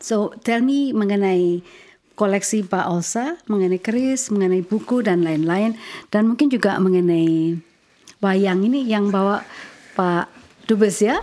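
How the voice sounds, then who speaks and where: At a fairly slow pace, a woman talks with very even loudness and ordinary pitch variation. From Indonesia. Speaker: ambassador hosting a podcast. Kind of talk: interview. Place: home room. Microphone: studio mic.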